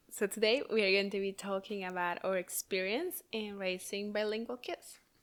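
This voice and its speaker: A woman's medium-pitched voice with a Spanish accent, moderate pace and fairly even intonation. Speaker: podcast co-host, mother. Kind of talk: casual chat. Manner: halting.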